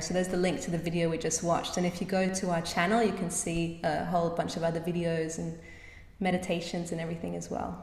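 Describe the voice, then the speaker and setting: A woman with an Australian accent speaks very fast in a fairly low, monotone, flat voice. Audible room echo and noticeable background noise are present. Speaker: musician. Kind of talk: casual interview chat. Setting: video call.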